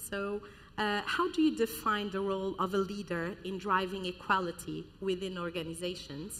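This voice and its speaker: Noticeable background noise accompanies a woman whose pitch is medium and whose pace is moderate. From Portugal. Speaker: panel moderator. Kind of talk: moderating a panel.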